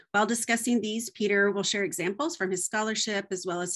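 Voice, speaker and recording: A woman speaks in an American accent with ordinary pitch variation. The background is quiet. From United States. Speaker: professor and webinar host. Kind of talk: webinar host introduction. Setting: video call. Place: home room. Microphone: video call.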